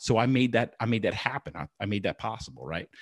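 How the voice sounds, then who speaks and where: Lively intonation in a dry, close sound with no echo against a quiet background. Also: man. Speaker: executive coach. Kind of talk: interview.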